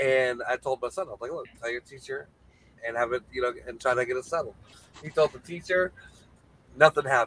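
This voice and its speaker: The speech moves at a fairly quick pace, broken by long, frequent pauses, with ordinary pitch variation. The sound is dry and close, with no echo. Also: man, medium pitch for a man. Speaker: guest. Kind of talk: casual chat.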